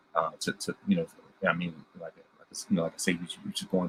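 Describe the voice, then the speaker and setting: Music plays in the background as a man speaks with a dry, close sound and no echo. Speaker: podcast host. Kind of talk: casual review monologue. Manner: fast; halting, many repetitions.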